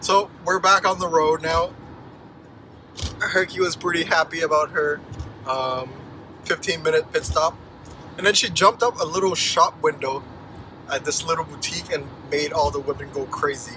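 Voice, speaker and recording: A man speaks at a moderate pace with ordinary pitch variation and long, frequent pauses, in a dry sound with no echo over noticeable background noise. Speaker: vlogger. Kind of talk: casual vlog chat. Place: car. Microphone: phone near.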